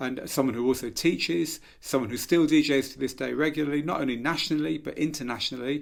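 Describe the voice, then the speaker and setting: A man with a fairly high pitch and ordinary pitch variation speaks at a very fast pace with hardly any pauses. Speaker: podcast host. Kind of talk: interview.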